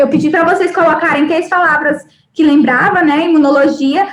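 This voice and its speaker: This woman's pitch varies in an ordinary way as she talks at a moderate pace. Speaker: university lecturer. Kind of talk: live online lecture. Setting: live online class.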